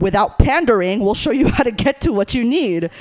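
A woman with an American accent speaks at a moderate pace with lively intonation over noticeable background noise. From Northern California. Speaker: comedian and sex educator. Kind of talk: stand-up. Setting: stage with audience.

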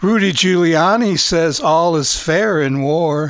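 With a fairly high pitch that varies in an ordinary way, a man is speaking. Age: old. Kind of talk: casual chat.

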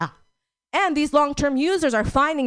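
Woman's voice with a warm tone and lively intonation, dry, close sound with no echo, and a quiet background. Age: 40s. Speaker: stand-up comedian. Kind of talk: stand-up comedy. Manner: warm, chatty, crowd-engaging.

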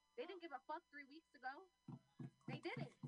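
Music plays in the background as a woman with an American accent talks at a very fast pace with lively intonation. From US West Coast, San Francisco. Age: young. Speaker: youth organizer. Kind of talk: rally speech. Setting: outdoors. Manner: passionate, urgent.

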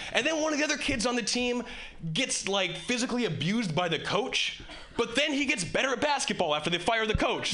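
A man talks fast-ish in a raised, projected voice that is high-pitched for a man, with lively intonation and very even loudness. Noticeable background noise runs underneath. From Hawaii. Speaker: comedian. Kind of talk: stand-up. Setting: stage with audience.

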